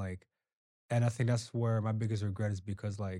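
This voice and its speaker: Over a very clean recording with a silent background, a man talks at a fairly quick pace in a fairly low, dark, mellow voice with monotone, flat intonation. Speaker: dancer. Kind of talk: casual chat.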